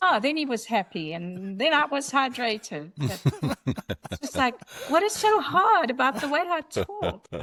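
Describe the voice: High-pitched woman with a South African accent and very wide pitch swings, fairly slow, over noticeable background noise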